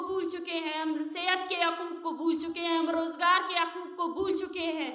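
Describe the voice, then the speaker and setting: Projecting her voice, a woman speaks at an extremely high pitch in a bright, sharp tone. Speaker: human rights activist. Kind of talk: public speech at a press club. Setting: outdoor rally or press event. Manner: fiery, impassioned.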